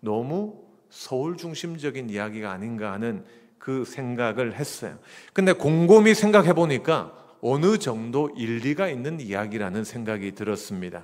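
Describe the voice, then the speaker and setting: A man with a Gyeongsang accent, medium pitch and very wide pitch swings, in audible room echo. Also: moderate pace. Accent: regional non-Seoul Korean accent (Gyeongsang). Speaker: pastor. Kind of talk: sermon. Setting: church. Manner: conversational, humorous.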